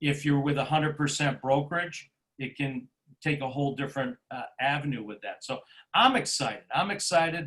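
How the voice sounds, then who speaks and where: An ordinary speaking voice from a man, fairly high in pitch, with fairly even intonation. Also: fairly quick pace. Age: 60s. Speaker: real estate agent. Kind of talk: interview.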